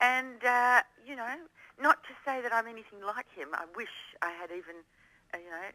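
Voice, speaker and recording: A woman speaks at a moderate pace with lively intonation, a bright, sharp tone and big swings in loudness. Her long, frequent pauses sit in a dry, close sound with no echo. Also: fairly high pitch for a woman. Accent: Australian. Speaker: female Elvis tribute performer. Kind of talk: radio interview.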